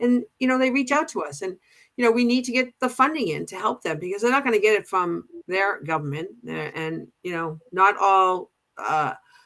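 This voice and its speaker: Speaking with a Boston accent, a woman keeps a medium pitch and moderate pace while her voice makes very wide pitch swings. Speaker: pride organization co-president. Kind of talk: casual chat. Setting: livestream show. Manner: halting, many restarts.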